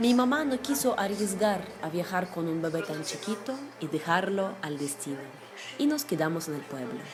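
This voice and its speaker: Music plays and room echo is audible as a woman speaks at a moderate pace. Her medium-pitched voice makes very wide pitch swings. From Russia. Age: 80s+. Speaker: war survivor. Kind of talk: testimony.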